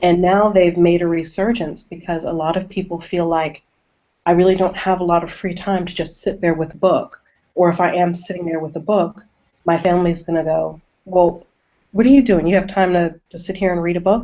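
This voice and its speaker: A woman with an ordinary speaking voice talks at a fairly quick pace, her fairly low pitch carrying fairly even intonation. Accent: American. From US South. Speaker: horror author. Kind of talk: casual interview. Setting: video call.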